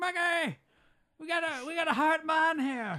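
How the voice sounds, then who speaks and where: A man's put-on character voice in an Irish accent, extremely high-pitched and very slow. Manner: urgent shouting.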